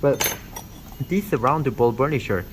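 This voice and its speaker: A man with a non-native accent speaks with vocal fry and very wide pitch swings. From Korean background. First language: not English. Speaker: dentistry instructor. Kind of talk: tutorial. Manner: halting, many fillers.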